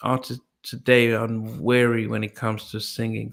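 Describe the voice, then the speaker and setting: On a very clean recording with a silent background, a man speaks at a fairly slow pace in a medium pitch with monotone, flat intonation. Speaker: podcast host. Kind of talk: interview. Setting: live stream.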